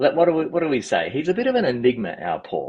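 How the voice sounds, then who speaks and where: A man with an Australian accent, talking at a very fast pace with very wide pitch swings. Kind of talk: interview answer.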